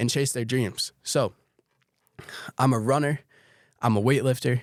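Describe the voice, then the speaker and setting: Recorded very cleanly against a silent background, the voice sounds dry and close with no echo, moving at a moderate pace with ordinary pitch variation. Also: man. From US Northeast, Connecticut (Torrington). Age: 20s. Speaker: podcast host, student fitness content creator. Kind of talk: casual solo podcast monologue. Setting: podcast studio.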